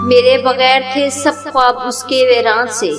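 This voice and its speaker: A woman talks in a high voice with ordinary pitch variation as music plays behind her. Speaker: poetry reciter. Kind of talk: sad poetry reading.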